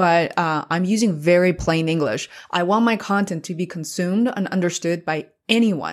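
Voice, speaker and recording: This woman speaks at a medium pitch with a Chinese accent. Her pitch variation is ordinary. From Beijing, China. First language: Mandarin Chinese. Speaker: podcaster and YouTube creator. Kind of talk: casual interview chat. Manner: fast talker.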